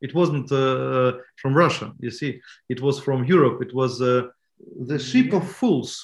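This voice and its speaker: A man with a medium pitch and ordinary pitch variation speaks at a very slow pace in a somewhat breathy voice, on a very clean recording with a silent background. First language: Russian. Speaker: bookseller. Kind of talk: interview. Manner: halting.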